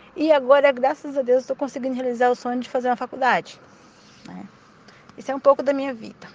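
Speaking at a very fast pace with long, frequent pauses, a woman keeps a high pitch and fairly even intonation while her loudness swings widely. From Brazil, Mato Grosso. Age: 40s. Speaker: domestic worker and student. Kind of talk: personal testimony.

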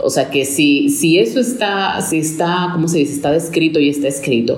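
A woman with a very deep, low pitch speaks at a moderate pace with lively intonation. Room echo is audible along with noticeable background noise. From Dominican Republic, urban. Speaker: podcast co-host. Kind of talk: casual chat.

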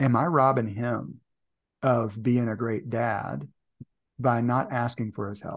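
This man has a plain, everyday voice, medium in pitch with ordinary pitch variation. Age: 40s. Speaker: leadership and performance coach. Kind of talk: casual chat.

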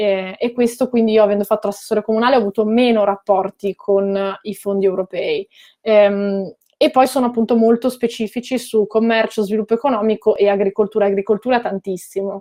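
Fairly quick in pace, a woman with an unremarkable speaking voice talks at a fairly high pitch with fairly even intonation. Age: 30s. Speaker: political commentator and former local councillor. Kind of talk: interview.

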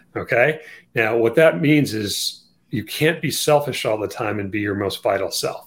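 Lively intonation and a medium pitch mark this man's speech at a moderate pace. His voice is somewhat breathy. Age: 50s. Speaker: orthopedic surgeon and author. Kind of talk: interview.

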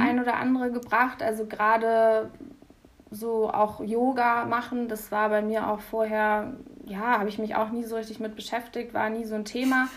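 A woman with a plain, everyday voice, fairly high-pitched, with fairly even intonation and a fairly slow pace. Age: 20s. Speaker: university student. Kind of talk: casual interview.

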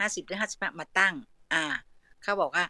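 A woman at medium pitch speaks in a bright, sharp tone, and the sound is dry and close with no echo. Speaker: retired civil servant and mother sharing parenting experience. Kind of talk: online talk show conversation. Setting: audio chat room.

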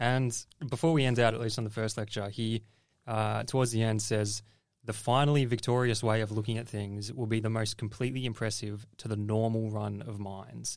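Fairly quick speech from a man at medium pitch, fairly even in intonation, with a plain, everyday voice and a very clean recording over a silent background. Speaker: podcast co-host. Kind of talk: casual philosophy discussion and reading aloud.

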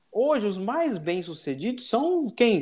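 On a very clean recording with a silent background, a man talks at a moderate pace in a dry, close sound with no echo. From Brazil, São Paulo. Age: 40s. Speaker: business executive. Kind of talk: casual interview chat.

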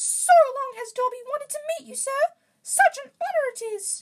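The voice is a put-on character at an extremely high pitch. Its pace is moderate. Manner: eager, excited.

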